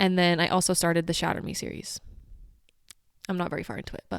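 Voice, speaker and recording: A woman's animated, very fast delivery at a fairly low pitch, with big swings in loudness and long, frequent pauses. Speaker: podcast co-host. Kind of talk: casual chat.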